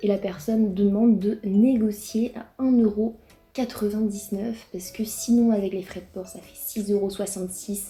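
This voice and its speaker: With music in the background, a woman with a Breton accent speaks at a medium pitch and fairly slow pace in a monotone, flat intonation, her loudness swinging widely. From Brittany, France. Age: 20s. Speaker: YouTuber. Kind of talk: casual reaction vlog. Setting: home, alone in living room.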